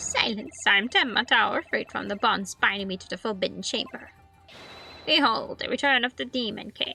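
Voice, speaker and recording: The speaker uses a put-on character voice at a moderate pace. Faint music plays in the background. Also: female-sounding voice, fairly high pitch for a woman. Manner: grandiose, theatrical, silly.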